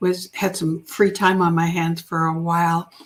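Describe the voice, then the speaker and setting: Soft-spoken, a woman talks with a fairly low pitch. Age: 60s. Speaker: business advisor and coach. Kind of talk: interview answer.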